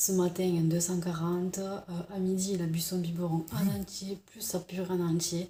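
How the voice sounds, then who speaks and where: Soft-spoken and fairly low in pitch, a woman talks at a moderate pace with monotone, flat intonation. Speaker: vlogger. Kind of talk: casual chat. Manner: hesitant.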